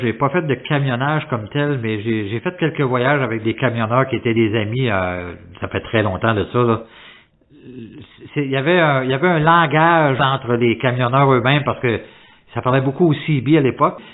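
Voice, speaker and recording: Here is a man with an ordinary speaking voice at a medium pitch. He keeps a moderate pace with ordinary pitch variation. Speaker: podcast host. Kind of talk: interview question.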